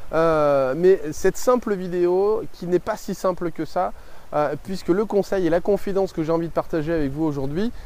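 A man's dark, mellow voice, high in pitch, at a fairly slow pace with ordinary pitch variation. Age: 30s. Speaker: life coach and video creator. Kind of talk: vlog monologue to camera. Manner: hesitant, many fillers.

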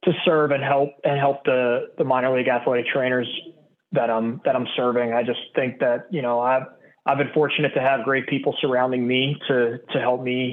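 The delivery comes in a Pittsburgh accent at a moderate pace. The intonation is monotone and flat. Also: man. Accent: Western Pennsylvania (Pittsburgh). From Pittsburgh, Pennsylvania. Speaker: baseball athletic trainer, medical coordinator. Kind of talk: podcast interview.

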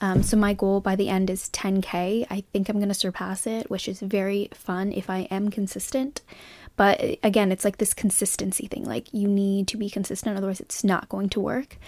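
A woman talks in a normal speaking voice at medium pitch. Her intonation is fairly even and her pace moderate. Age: 20s. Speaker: podcast host. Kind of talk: solo monologue. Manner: casual, filler-heavy.

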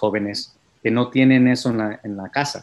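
A man's medium-pitched voice moves at a fairly slow pace, its intonation fairly even. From California (Hollister, central coast), Mexican-American family. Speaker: civil rights organization youth leader. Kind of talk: interview. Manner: halting, many fillers.

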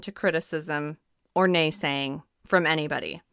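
On a very clean recording with a silent background, a woman with an American accent talks in an animated tone. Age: 30s. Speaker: nutritional therapy practitioner and podcast host. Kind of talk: solo podcast monologue.

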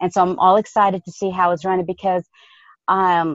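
A woman talks at a medium pitch and moderate pace in an ordinary speaking voice. The sound is dry and close with no echo, over a quiet background. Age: 50s. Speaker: health coach. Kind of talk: casual interview.

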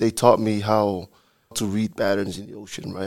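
In a very clean recording with a silent background, a man speaks at a fairly low pitch with a Samoan accent.

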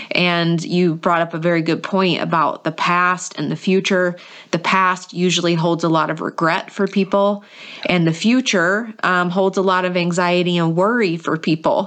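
A woman with an American accent uses a plain, everyday voice at a fairly low pitch, with fairly even intonation, very even loudness and a moderate pace. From North Carolina, US. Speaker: podcast host. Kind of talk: podcast intro and interview.

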